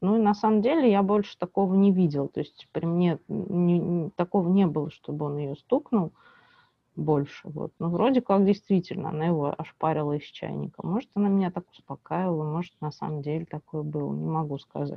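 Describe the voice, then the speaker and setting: Her voice is a plain, everyday voice, pitched fairly low for a woman. She talks at a fairly quick pace with ordinary pitch variation. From Russia, Bryansk region. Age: 30s. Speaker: social journalist. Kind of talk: interview, personal testimony.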